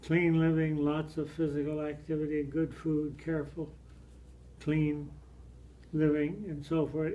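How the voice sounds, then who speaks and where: A man's fairly high but dark, mellow voice, monotone and flat, at a fairly slow pace amid audible room echo. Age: 80s+. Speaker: elderly father. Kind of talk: reading aloud. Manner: halting.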